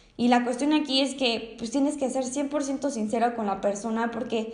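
A woman's fairly high voice at a moderate pace with fairly even intonation, heard with audible room echo. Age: young. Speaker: podcaster and university student. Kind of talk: personal testimony monologue. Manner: halting, with frequent word repetitions.

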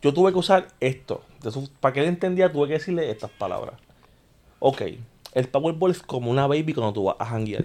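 A man with an unremarkable speaking voice and a fairly high pitch talks at a fairly quick pace, his intonation lively. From Puerto Rico, Guaynabo. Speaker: podcast co-host. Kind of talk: casual chat.

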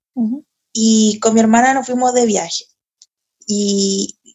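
A woman speaks in a Chilean accent at a fairly high pitch. Her intonation stays fairly even. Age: 30s. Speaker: comedian and writer. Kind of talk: casual chat.

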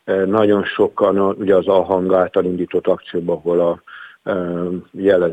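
Speaking at a moderate pace, a man delivers his words in a flat monotone with a very deep, low pitch. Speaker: teachers' union vice president. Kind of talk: radio interview. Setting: phone call. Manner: halting, with filler sounds.

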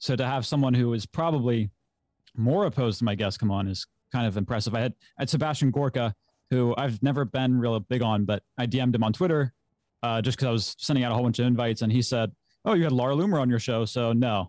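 A man with an American accent speaks at a medium pitch with ordinary variation and very even loudness, the sound dry and close with no echo over a quiet background. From US, Maryland. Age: 20s. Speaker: podcast host. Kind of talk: casual political debate. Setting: video call on live stream. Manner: halting, many fillers.

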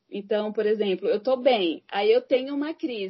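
Here is a woman with an unremarkable speaking voice and a fairly high pitch. She talks at a moderate pace with lively intonation. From Brazil, Santo André, São Paulo. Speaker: psychologist. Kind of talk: casual interview chat.

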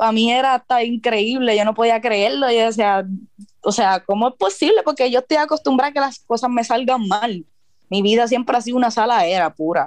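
Fairly quick speech with ordinary pitch variation and very even loudness. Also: woman, fairly high pitch for a woman. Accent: Puerto Rican. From Puerto Rico. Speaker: freestyle rapper. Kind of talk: interview.

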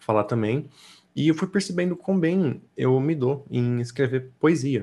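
A man's ordinary speaking voice, fairly slow and with lively intonation, on a very clean recording with a silent background. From São Paulo state, Brazil. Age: 20s. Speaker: artist and slam poet. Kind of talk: casual interview chat.

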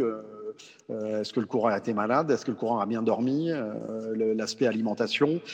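This man speaks at a moderate pace in a medium pitch. His pitch varies in an ordinary way. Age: 40s. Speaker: cycling coach. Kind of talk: interview. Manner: halting, many repetitions and fillers.

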